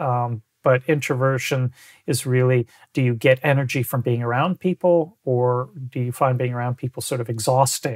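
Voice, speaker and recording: The sound is dry and close, with no echo. A somewhat breathy man speaks fairly quickly at medium pitch with fairly even intonation. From mixed: Algeria, Sweden, Quebec (American family). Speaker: composer and teacher. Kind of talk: interview. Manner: halting, many repetitions.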